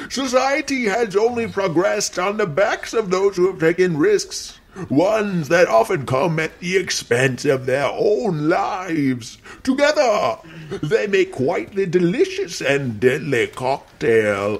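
At a fairly slow pace, a man puts on a character voice pitched high. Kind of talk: horror narration. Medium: audio drama. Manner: dramatic, relishing, sinister.

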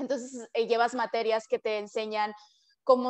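This woman talks at a fairly high pitch with monotone, flat intonation against a quiet background. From Mexico, Culiacán, Sinaloa; Sinaloa, Mexico. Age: 20s. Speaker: PhD student, scientist; interviewee. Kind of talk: interview. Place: home room. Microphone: video call.

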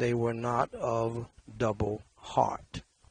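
Over a dry sound with no echo, a man speaks at a very slow pace in a somewhat breathy voice. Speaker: scripture reader at a memorial prayer service. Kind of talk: scripture reading. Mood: solemn, measured. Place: studio. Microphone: headset.

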